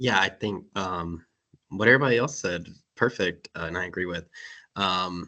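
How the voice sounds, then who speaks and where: A man with an American accent speaks in a very deep, low pitch with a bright, sharp tone. His pace is moderate, with long, frequent pauses. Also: ordinary pitch variation, quiet background. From North Carolina. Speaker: panelist in environmental field. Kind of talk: panel webinar discussion.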